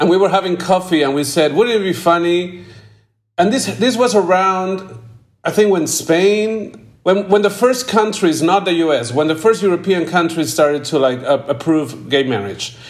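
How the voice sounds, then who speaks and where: Speaking at a moderate pace, a man has a Peruvian accent and a high pitch. His intonation is lively. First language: Spanish. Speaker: film director. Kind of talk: interview. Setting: video call.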